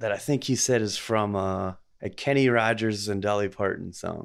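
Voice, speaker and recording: A man speaks at a moderate pace with fairly low pitch and fairly even intonation, in a plain, everyday voice. The recording is very clean with a silent background. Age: 40s. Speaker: podcast host and delivery driver. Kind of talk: casual chat.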